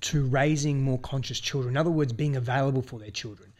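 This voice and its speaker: This man's voice sits fairly high in pitch and shows ordinary pitch variation. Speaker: guest's husband, new father. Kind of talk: casual conversation.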